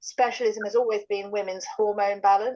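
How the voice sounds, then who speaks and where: Her voice fairly high, a woman talks with fairly even intonation. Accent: British. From England. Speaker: medical doctor presenting a health product. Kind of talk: online product presentation. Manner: halting, many fillers.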